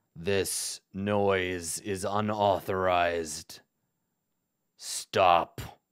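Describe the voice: A man's put-on character voice, raspy and very deep, at a very slow pace with monotone, flat intonation and long, frequent pauses, in a very clean recording with a silent background.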